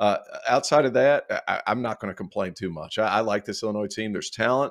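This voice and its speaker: In a very clean recording with a silent background, a man with a Southern US accent speaks at a fairly quick pace with ordinary pitch variation. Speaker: college basketball analyst. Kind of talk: casual sports banter.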